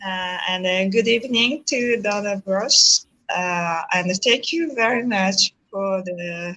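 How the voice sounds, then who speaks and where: With a Japanese accent, a woman talks at a very slow pace in a medium pitch with ordinary pitch variation. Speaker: NGO president. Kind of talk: panel question. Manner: halting, hesitant.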